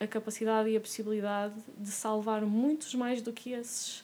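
A woman with a Porto accent speaks at a moderate pace. Her fairly high voice stays monotone and flat. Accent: Porto accent, noticeable. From Porto, northern Portugal (first 10 years in France). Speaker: animal rights activist. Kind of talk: casual interview conversation.

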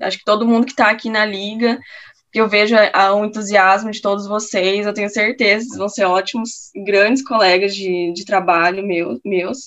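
Loudness swings widely as a woman speaks at a moderate pace. Her medium pitch keeps fairly even intonation. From Campo Grande, Mato Grosso do Sul, Brazil. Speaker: perfusion postgraduate student. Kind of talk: casual interview. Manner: halting.

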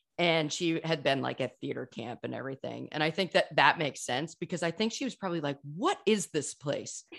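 Vocal fry runs through a woman's very deep, low voice. She talks at a fairly quick pace with ordinary pitch variation. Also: quiet background. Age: 40s. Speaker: podcast host. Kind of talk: casual chat.

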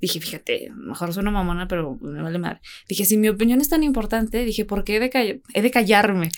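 A woman speaks in an ordinary speaking voice, fairly high in pitch with ordinary pitch variation. Her pace is fairly quick, and the recording is very clean with a silent background. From Jerez, Zacatecas, Mexico. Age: 20s. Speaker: university student and social media personality. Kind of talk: casual chat.

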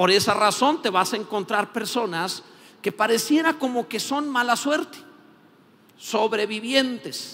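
At a fairly slow pace, a man speaks with extremely high pitch, ordinary pitch variation and a bright, sharp tone. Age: 50s. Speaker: pastor. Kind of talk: sermon.

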